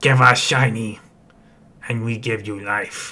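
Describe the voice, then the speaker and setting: A man puts on a character voice with a menacing tone at a medium pitch. He speaks at a fairly slow pace. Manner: gruff, menacing.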